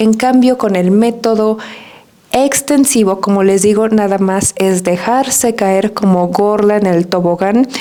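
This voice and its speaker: A soft-spoken woman with a Mexican accent talks at a medium pitch and a fairly slow pace with ordinary pitch variation. Her loudness is very even, with noticeable background noise. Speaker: Spanish teacher. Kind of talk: podcast monologue.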